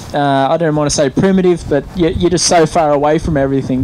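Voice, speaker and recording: Noticeable background noise sits behind a speaker with an Australian accent who talks at a fairly quick pace. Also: man. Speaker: event rider. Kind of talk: interview. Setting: interview lounge at event. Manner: halting, many fillers.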